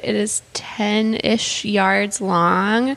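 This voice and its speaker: A woman is speaking. Noticeable background noise sits behind her voice. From Calgary, Alberta, Canada. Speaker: artist. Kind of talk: casual interview.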